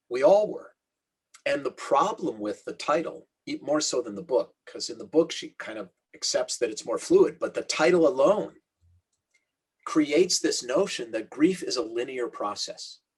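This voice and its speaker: Speaking at a moderate pace, a man makes big swings in loudness. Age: 60s. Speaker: rabbi and author. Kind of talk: interview conversation.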